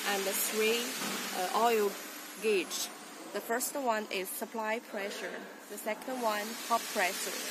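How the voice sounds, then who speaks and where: A woman speaks at a fairly slow pace. The sound is dry with no echo, though noticeable background noise is present. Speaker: presenter. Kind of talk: product demonstration. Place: factory. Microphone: phone near.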